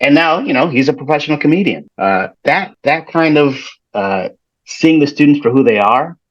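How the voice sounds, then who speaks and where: A man with an American accent and an unremarkable speaking voice talks at a moderate pace in a fairly high pitch. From Chicago, US Midwest. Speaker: educator and performer. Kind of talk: interview. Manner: some repetitions and self-corrections.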